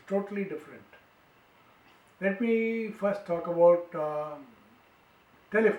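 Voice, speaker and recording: A man with an Indian accent, a high pitch, a fairly slow pace, long, frequent pauses and big swings in loudness. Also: ordinary pitch variation. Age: 80s+. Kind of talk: storytelling to grandchildren.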